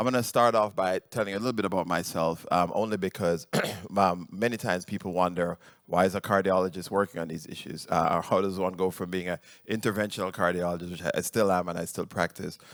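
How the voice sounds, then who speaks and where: A man with a Jamaican accent, very deep and low in pitch, at a very fast pace with fairly even intonation, in a very clean recording with a silent background. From Jamaica (rural). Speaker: cardiologist and researcher. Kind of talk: conference talk. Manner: halting, many fillers.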